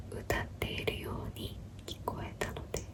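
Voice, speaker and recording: Whispering at a very slow pace amid noticeable background noise. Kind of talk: whispered bedtime story narration. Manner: whispering, soft-spoken.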